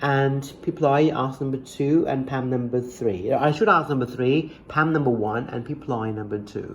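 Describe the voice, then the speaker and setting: At a moderate pace with hardly any pauses, a man with a medium-pitched voice and ordinary pitch variation talks over noticeable background noise. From Thailand. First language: Thai. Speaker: English teacher. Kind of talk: casual tutoring chat. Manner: halting, many fillers and repeats.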